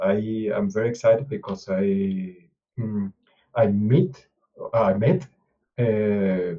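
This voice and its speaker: A man's voice is somewhat breathy, and his pitch varies in an ordinary way. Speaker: open source contributor. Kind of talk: mentoring video call. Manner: halting, many hesitations.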